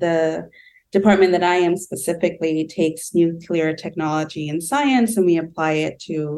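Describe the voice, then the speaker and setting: A woman with an American accent speaks at a moderate pace in a very deep, low pitch, her intonation fairly even. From Southern California. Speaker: UN intern in development programs. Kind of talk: interview conversation.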